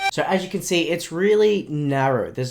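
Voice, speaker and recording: The voice has an Australian accent. Its pace is moderate. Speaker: music producer teaching production. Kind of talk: tutorial.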